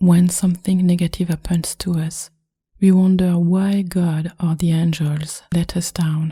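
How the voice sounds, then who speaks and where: In a French accent, a woman speaks softly and at a fairly slow pace, her voice fairly low, dark, mellow and somewhat breathy. Her tone is calm and her intonation monotone and flat. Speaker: meditation guide. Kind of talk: spiritual podcast reading. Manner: calm, soft-spoken.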